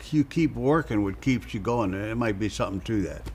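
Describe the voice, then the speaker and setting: A man talks with a St. Louis accent. There is noticeable background noise. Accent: Midwestern American (St. Louis). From US Midwest, South St. Louis, Missouri. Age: 80s+. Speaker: real estate investor. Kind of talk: casual interview chat.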